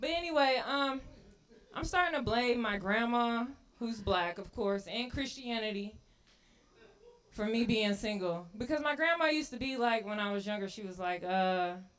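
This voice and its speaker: Using lively intonation at a moderate pace, a woman with a fairly high pitch speaks in an ordinary speaking voice. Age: 30s. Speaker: stand-up comedian. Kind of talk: stand-up. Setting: stage with audience.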